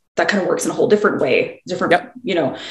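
A woman's voice with audible room echo. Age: 30s. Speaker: podcast co-host. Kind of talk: casual chat. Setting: video call.

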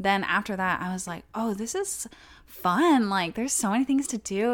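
In an ordinary speaking voice with an American accent, a woman speaks at a fairly high pitch with lively intonation and a moderate pace. The recording is very clean, with a silent background. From Texas, small town. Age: 20s. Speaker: YouTuber. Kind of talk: casual chat.

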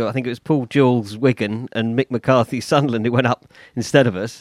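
This is an unremarkable speaking voice at a fairly quick pace, recorded dry and close with no echo. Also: man. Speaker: football pundit. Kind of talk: live show panel chat.

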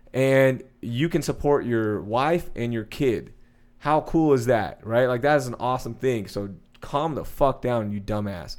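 An unremarkable speaking voice in an American accent comes at a fairly slow pace. Pitch variation is ordinary. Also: man, medium pitch for a man. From Texas, Sugar Land near Houston. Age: 30s. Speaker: sports radio host. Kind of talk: casual chat.

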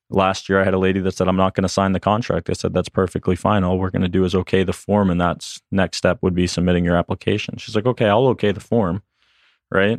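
A man's very deep, low voice with an American accent, in a quiet background with a dry, close sound and no echo. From Boston, Massachusetts. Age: 30s. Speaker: door-to-door sales trainer. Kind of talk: casual interview. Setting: studio.

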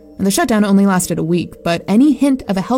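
The speech races along at a very fast pace while music plays in the background. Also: woman. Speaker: narrator. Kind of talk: dramatic horror narration, first person. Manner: tense, hushed, building dread.

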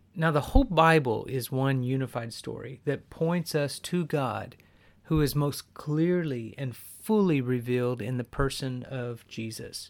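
A man with an American accent speaks at a fairly slow pace in medium pitch, with ordinary pitch variation and a plain, everyday voice, on a very clean recording with a silent background. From US Southwest. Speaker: podcast host, Bible teacher. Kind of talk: devotional teaching podcast.

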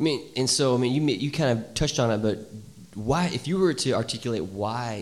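At a fairly quick pace, a man talks in an unremarkable speaking voice at a medium pitch. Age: 30s. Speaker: church podcast host. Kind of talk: casual interview. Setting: church with small live audience.

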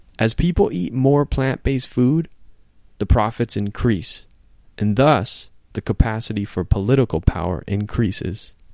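The sound is dry and close with no echo, in a very clean recording with a silent background. A man speaks in an ordinary speaking voice at medium pitch. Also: lively intonation, moderate pace. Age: 40s. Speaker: podcast host. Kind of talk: casual chat; reading aloud.

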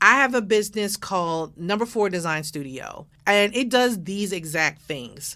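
With an American accent, a woman at medium pitch talks at a moderate pace with hardly any pauses, her animated, enthusiastic delivery bright and sharp in tone, her intonation lively, all on a very clean recording with a silent background. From Baltimore, Maryland. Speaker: podcast host and design consultant. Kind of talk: scripted podcast trailer monologue.

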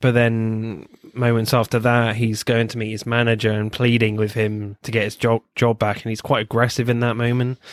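Speaking with a southern English accent, a man holds a medium pitch and monotone, flat intonation at a moderate pace with hardly any pauses. The sound is dry and close with no echo, in a very clean recording with a silent background. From England. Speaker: film podcast host. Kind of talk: casual chat.

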